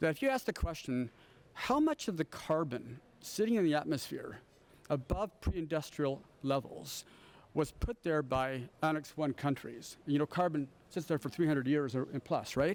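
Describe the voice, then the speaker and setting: With a plain, everyday voice, a man talks in a fairly high pitch with ordinary pitch variation. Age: 60s. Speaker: professor, panelist. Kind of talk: panel discussion.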